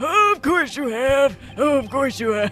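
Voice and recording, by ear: A man in a put-on character voice speaks at a very slow pace with a raised, projected voice while clear music plays in the background.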